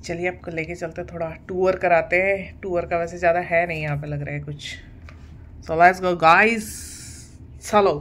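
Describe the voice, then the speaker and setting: The woman's voice sits fairly low and moves at a fairly slow pace. Her intonation stays monotone and flat. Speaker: vlogger. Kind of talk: casual vlog chat. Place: home room. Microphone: phone near.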